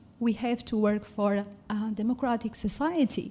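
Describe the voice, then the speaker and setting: A woman with a Portuguese accent speaks at a fairly slow pace in a fairly high, somewhat breathy voice with a dark, mellow tone. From Portugal. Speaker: science educator. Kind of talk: conference talk.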